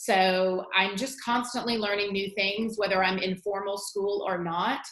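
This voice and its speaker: Fairly even in intonation, a woman talks in an ordinary speaking voice. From Virginia. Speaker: teacher. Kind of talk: tutorial.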